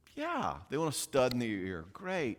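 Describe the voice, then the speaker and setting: In a Southern US accent, the speaker sounds animated on a very clean recording with a silent background. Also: man. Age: 60s. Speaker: psychologist speaking on parenting. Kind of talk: conference talk. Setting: conference with live audience. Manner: fast.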